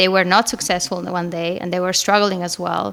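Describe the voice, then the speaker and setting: A woman speaks with a Spanish accent. Her pitch is medium and her pace moderate. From Spain. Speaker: marketing manager. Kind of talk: podcast interview.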